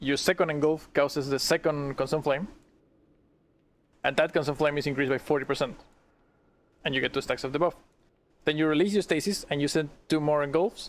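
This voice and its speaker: A man speaks with a non-native accent at a fairly quick pace, his pitch fairly high and his intonation fairly even. Long pauses come often. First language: not English. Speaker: streamer. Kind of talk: casual chat.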